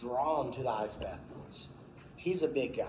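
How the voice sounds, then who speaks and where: Amid noticeable background noise and audible room echo, a man with a fairly high pitch speaks at a moderate pace. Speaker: promotional company owner giving a club talk. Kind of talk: speech to a club meeting. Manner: loud.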